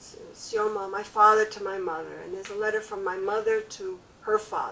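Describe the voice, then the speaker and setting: A woman talks at a moderate pace. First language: French. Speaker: family memoir interviewee. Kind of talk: oral history interview. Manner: halting.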